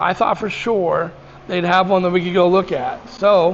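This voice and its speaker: The speech moves at a moderate pace with fairly even intonation, and noticeable background noise sits behind it. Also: man. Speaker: motorcycle vlogger. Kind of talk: casual vlog talk. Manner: halting, with ums and ahs.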